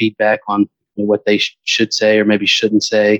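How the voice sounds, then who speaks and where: A fairly low-pitched man with an American accent, his sound dry and close with no echo. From US South, Georgia (Stone Mountain near Atlanta). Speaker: financial company executive. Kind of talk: interview.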